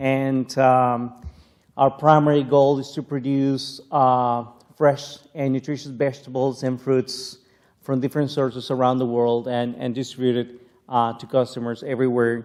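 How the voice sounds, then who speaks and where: The speaker has a Spanish accent and a moderate pace. The intonation stays monotone and flat. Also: man, medium pitch for a man. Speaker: plant scientist. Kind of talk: keynote lecture. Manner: halting, many fillers.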